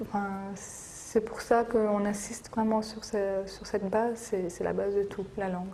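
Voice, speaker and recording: Amid audible room echo and noticeable background noise, a woman at medium pitch speaks fairly slowly in a monotone, flat way, with big swings in loudness. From France. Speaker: Kurdish community association member. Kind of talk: documentary interview. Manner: hesitant, many fillers.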